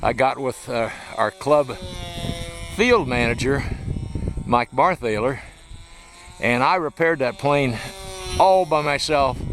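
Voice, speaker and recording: A man of medium pitch talks at a fairly slow pace amid noticeable background noise. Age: 70s. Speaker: hobby club president and videographer. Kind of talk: casual narration behind the camera.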